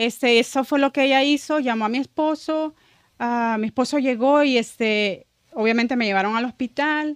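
Against a quiet background, a woman with a high pitch and ordinary pitch variation speaks at a moderate pace in a dry sound with no echo. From El Salvador. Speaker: church ministry member; podcast guest. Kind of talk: testimony. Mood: emotional, reflective testimony. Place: studio. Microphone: studio mic.

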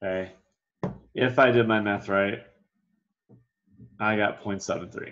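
Speaking at a fairly slow pace, a man has a fairly low pitch, fairly even intonation and a fairly bright tone.

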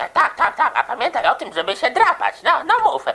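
A put-on character voice at an extremely high pitch and fairly quick pace, over light background noise. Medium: fan dub.

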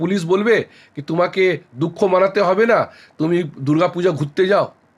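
This man's voice sits high. Its rise and fall is ordinary. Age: 50s. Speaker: politician. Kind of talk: interview. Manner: halting.

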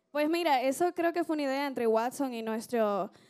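Over a quiet background, a woman speaks in a high pitch with a dark, mellow tone. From outside Dominican Republic. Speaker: singer in a merengue orchestra; interviewee. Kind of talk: TV interview. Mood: friendly, smiling. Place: studio. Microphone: handheld.

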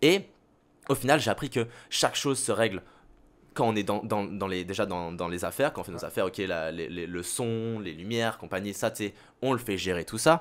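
The recording is very clean with a silent background, carrying a man's normal speaking voice at a fairly low pitch. He talks at a fairly quick pace with ordinary pitch variation. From Saint-Barthélemy (French Caribbean). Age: 20s. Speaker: radio host and content creator. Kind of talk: casual chat.

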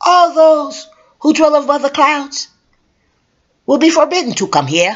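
This man speaks in a put-on character voice. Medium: read story. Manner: passionate, cooing, imperious.

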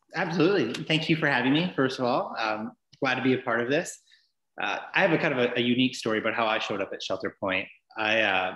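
Over a quiet background with audible room echo, a man talks at a very fast pace. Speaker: guest. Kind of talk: interview answer. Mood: friendly, laughing storyteller. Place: home room. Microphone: video call.

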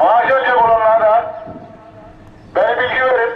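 A man's extremely high voice with an Aegean accent, fairly slow and fairly even in intonation, amid light background noise and audible room echo. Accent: Aegean Turkish dialect. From Aegean Turkey. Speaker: neighbourhood headman. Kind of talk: village public address announcement. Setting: PA system. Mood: scolding, half joking. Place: street.

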